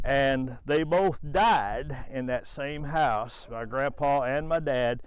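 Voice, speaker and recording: With an American accent, a man talks at a very slow pace, his fairly high voice moving with ordinary pitch variation amid audible room echo. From Missouri, rural US Midwest. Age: 70s. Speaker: family historian. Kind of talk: casual storytelling. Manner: halting, many fillers.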